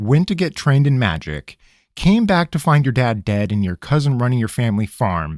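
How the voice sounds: A natural reading voice with lively intonation. The background is quiet.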